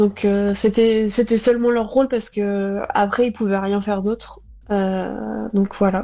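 The speaker goes at a very slow pace in a monotone, flat intonation. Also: woman, medium pitch for a woman. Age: 20s. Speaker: epilepsy patient. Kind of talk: recorded testimony. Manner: halting.

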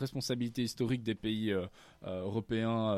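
Heard on a very clean recording with a silent background, a man with a plain, everyday voice speaks at medium pitch with fairly even intonation. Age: 20s. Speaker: climate activist and student. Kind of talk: radio interview.

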